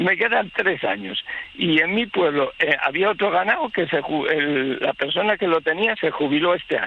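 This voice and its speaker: With very wide pitch swings and a high pitch, a man talks at a moderate pace. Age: 60s. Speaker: livestock farmer, local resident. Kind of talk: radio phone interview. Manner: halting, many false starts.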